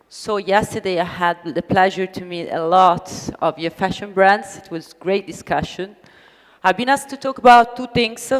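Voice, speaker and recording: In an Italian accent, a woman of medium pitch speaks at a moderate pace with ordinary pitch variation and big swings in loudness. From Italy. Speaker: business consultant, conference speaker. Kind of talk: conference talk. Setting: stage with audience.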